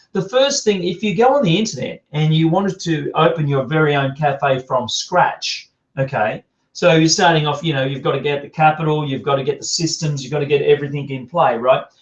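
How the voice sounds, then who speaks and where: A man's fairly high voice with an Australian accent, ordinary pitch variation and a fairly quick pace. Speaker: business coach. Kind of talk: video podcast tutorial. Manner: animated.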